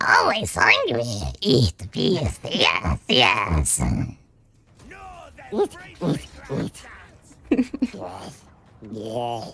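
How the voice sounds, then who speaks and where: A man adopts a put-on character voice, speaking very slowly and leaving long, frequent pauses. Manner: eager, hungry, repetitive.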